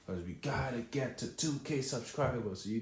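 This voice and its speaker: A man with a Trinidadian accent speaks in a somewhat breathy, dark, mellow tone at medium pitch and moderate pace, with ordinary pitch variation and audible room echo. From Trinidad and Tobago. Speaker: content creator. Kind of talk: vlog monologue to camera. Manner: casual, filler-heavy.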